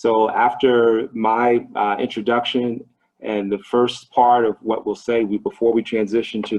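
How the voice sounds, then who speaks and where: Monotone and flat in intonation, a man speaks with a Midwestern US accent. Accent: US Midwest. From Ohio, US. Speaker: business trainer, investment advisor. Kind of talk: online training presentation.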